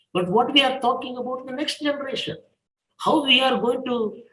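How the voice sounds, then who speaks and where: A man with an extremely high pitch uses a raised, projected voice with a bright, sharp tone. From India, coastal Karnataka. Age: 80s+. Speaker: professor and educator. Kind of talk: interview monologue. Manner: halting, with hesitations.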